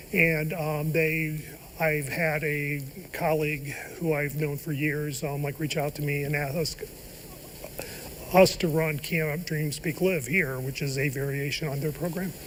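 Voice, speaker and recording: A man with an American accent speaks in a monotone, flat intonation at a fairly high pitch, with noticeable background noise behind him. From Ohio. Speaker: professor. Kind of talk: TV interview. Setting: studio. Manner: halting.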